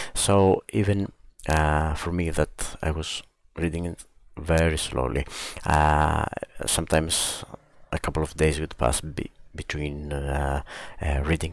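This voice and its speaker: A man with a non-native accent, very deep and low in pitch, fairly slow with long, frequent pauses and fairly even intonation. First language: not English. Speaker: book reviewer. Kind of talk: book review video podcast. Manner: hesitant, many fillers.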